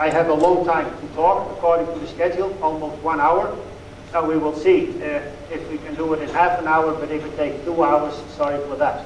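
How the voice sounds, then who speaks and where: With a Dutch accent, a man speaks in a flat monotone over light background noise, with audible room echo. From Netherlands. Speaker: dairy expert. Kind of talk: lecture. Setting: stage with audience. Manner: halting. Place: hall.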